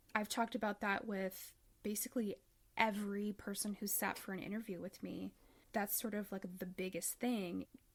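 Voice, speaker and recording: This woman has a Midwestern accent, a fairly high pitch, and an animated tone. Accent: flat Midwestern, described as non-. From US Midwest. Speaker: podcast host. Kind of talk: casual monologue; interview.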